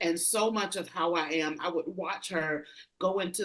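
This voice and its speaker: A woman speaks with an American accent in a plain, everyday voice. Her pitch is fairly low and her intonation fairly even. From rural US. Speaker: leadership consultant. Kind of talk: interview conversation.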